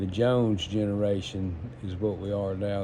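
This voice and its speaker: Audible room echo carries a man's fairly low-pitched voice. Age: 60s. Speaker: entrepreneur. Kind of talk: casual monologue. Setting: smoking while talking. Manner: halting.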